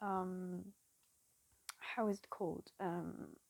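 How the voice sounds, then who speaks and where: A woman speaks with a French accent at a very slow pace. Her medium-pitched voice stays monotone, with flat intonation. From France. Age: 20s. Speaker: cross-stitch vlogger. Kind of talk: casual chat. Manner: halting; awkward.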